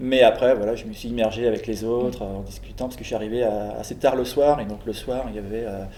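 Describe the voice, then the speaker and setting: Talking at a very fast pace with monotone, flat intonation, a man's voice swings widely in loudness amid audible room echo. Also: medium pitch for a man. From France. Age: 30s. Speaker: traveller. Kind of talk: casual chat.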